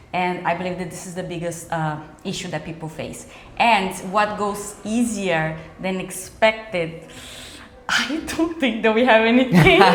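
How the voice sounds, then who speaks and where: With a Brazilian accent, a woman speaks at a fairly slow pace in a medium-pitched voice with ordinary pitch variation, amid noticeable background noise and audible room echo. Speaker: immigration lawyer. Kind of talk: interview. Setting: cafe.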